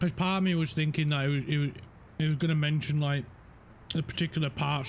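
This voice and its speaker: A man's fairly high, somewhat breathy voice rushes along at a very fast pace. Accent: Yorkshire. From Yorkshire, northern England. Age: 30s. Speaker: gaming streamer. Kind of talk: casual chat. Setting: live stream. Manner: halting, repeats words.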